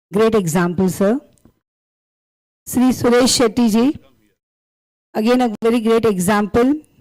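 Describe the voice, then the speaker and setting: A woman with an Indian accent speaks at a fairly slow pace and fairly high pitch, with ordinary pitch variation. Her loudness is very even, and she takes long, frequent pauses. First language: Tulu. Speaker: school principal, guest speaker. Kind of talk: formal speech. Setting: stage with audience. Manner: formal.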